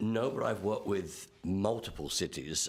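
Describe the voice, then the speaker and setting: A man with an English accent talks at a moderate pace with fairly even intonation. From England. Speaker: construction manager. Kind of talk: public meeting testimony. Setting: committee meeting.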